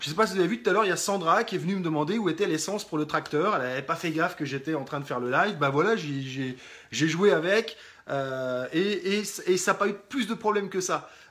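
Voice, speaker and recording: A man's high voice at a very fast pace, with lively intonation. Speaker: life coach. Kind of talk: live stream talk. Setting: live video stream from rural property.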